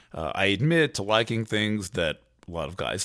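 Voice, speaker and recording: A man at a fairly slow pace with very wide pitch swings, on a very clean recording with a silent background. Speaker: astrologer and writer, podcast host. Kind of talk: solo commentary monologue. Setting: hotel room. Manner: halting, with many fillers and restarts.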